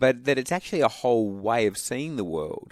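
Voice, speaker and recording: A man with an Australian accent speaks at a moderate pace with lively intonation. The recording is very clean and silent in the background, with a dry, close sound and no echo. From Western Australia (Albany, Perth). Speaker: pastor. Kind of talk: radio interview. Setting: radio studio.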